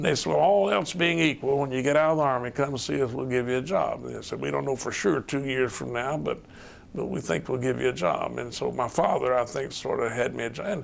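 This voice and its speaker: Man in a Southern accent at a very fast pace over noticeable background noise. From US South, Chattanooga, Tennessee. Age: 70s. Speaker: retired state supreme court justice. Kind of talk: oral history interview.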